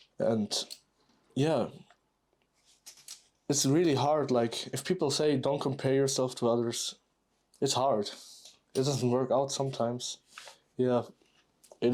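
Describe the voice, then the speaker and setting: Speaking fairly slowly with long, frequent pauses, a man with a non-native accent keeps a medium pitch, fairly even intonation and very even loudness. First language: not English. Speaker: YouTuber building Lego and talking. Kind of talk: casual monologue while building. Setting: live recording at home. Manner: halting, many fillers.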